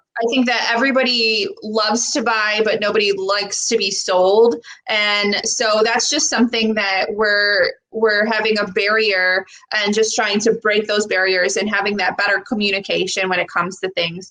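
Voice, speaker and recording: With a Buffalo accent, the speaker has a bright, sharp tone, fairly even intonation, and a moderate pace. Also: woman, fairly high pitch for a woman. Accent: American, Buffalo. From Buffalo, New York, US. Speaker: personal trainer and wellness coach. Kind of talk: casual chat. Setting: live video stream.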